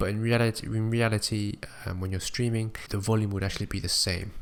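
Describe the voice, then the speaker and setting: A man's normal speaking voice, fairly low in pitch, at a fairly quick pace. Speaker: small-time streamer making tutorials. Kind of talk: tutorial.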